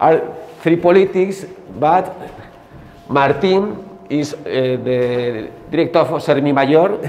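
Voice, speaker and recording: With a Spanish accent, a man talks at a very slow pace, leaving long, frequent pauses, against light background noise. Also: fairly high pitch for a man, ordinary pitch variation. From Spain. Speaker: high school teacher. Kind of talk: conference presentation. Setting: seminar with live audience. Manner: halting. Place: classroom. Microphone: camera far.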